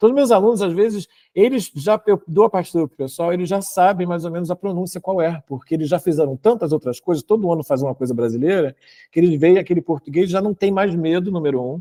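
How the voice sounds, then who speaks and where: A man's high-pitched voice with a dark, mellow tone, at a very fast pace. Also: ordinary pitch variation, dry, close sound with no echo. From Brazil, Rio de Janeiro. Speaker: choral arranger and university professor. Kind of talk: panel discussion. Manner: halting, many fillers.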